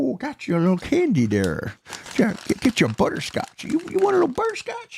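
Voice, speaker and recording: In a put-on character voice pitched extremely high, a man talks at a moderate speed. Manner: friendly offering candy.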